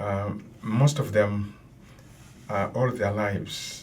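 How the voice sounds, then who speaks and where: At a very slow pace, a man with a Tanzanian accent speaks in a fairly low voice with fairly even intonation and audible room echo. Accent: Tanzanian (Matengo) accent in English. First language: Matengo. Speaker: professor. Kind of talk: lecture-style commentary. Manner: measured, with many filler sounds.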